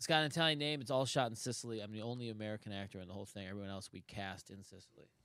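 A man with a Buffalo accent, fairly low pitch and a bright, sharp tone, at a very fast pace with hardly any pauses and ordinary pitch variation, on a very clean recording with a silent background. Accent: Western New York (Buffalo). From Buffalo, New York. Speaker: comedian and actor. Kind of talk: casual chat.

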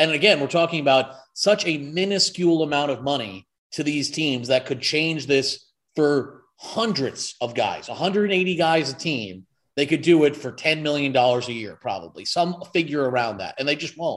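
An animated tone comes from a man with a fairly high pitch. He keeps a moderate pace and ordinary pitch variation. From New York State, Hudson Valley. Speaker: podcast producer. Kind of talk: heated rant.

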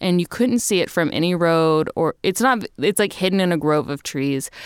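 A woman with a normal speaking voice and an American accent, lively intonation, a moderate pace, and a dry, close sound with no echo on a very clean recording with a silent background. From Texas. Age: 30s. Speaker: comedian. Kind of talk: casual chat.

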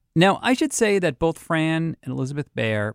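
Man with a Boston accent, moderate pace and lively intonation, in a dry, close sound with no echo and a very clean recording with a silent background. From Boston, US. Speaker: podcast host. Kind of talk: scripted narration with interviews.

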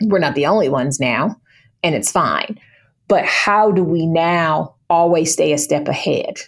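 A woman with an ordinary speaking voice and a fairly low pitch talks at a fairly slow pace with ordinary pitch variation. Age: 40s. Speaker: small business owner. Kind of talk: interview.

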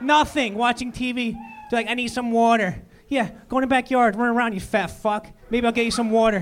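Over music in the background, a man with a Philadelphia accent talks at a fairly quick pace in an extremely high pitch with fairly even intonation. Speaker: comedian. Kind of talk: stand-up. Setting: stage with audience.

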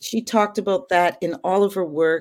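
A woman with a Canadian accent speaks at a fairly low pitch with ordinary pitch variation. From Calgary, Alberta, western Canada. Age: 50s. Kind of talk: interview. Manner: talkative.

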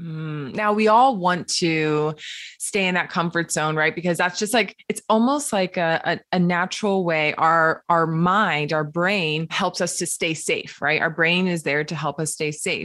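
A woman speaks in an enthusiastic tone at a fairly low pitch with ordinary pitch variation. Her pace is fairly slow against a quiet background. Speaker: podcast host. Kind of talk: interview.

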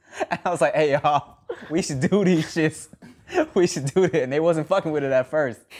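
A man talks at a fairly quick pace with fairly even intonation and a fairly high pitch. Noticeable background noise runs beneath him. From Thai heritage. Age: 30s. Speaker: podcast host. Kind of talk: casual chat.

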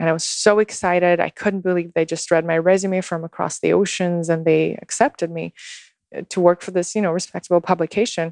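A woman with a Russian accent, fairly low pitch, fairly even intonation, and a fairly quick pace, in a dry, close sound with no echo against a quiet background. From Russia, Moscow. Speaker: social media guide and ceremonialist. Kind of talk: casual interview chat. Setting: in person in Texas.

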